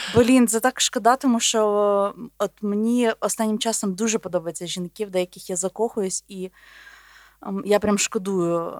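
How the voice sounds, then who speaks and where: A woman talks in a normal speaking voice at medium pitch, with a moderate pace and fairly even intonation. The recording is very clean with a silent background, and the sound is dry and close with no echo. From Volhynia, western Ukraine. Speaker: podcast co-host, biologist. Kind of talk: casual chat.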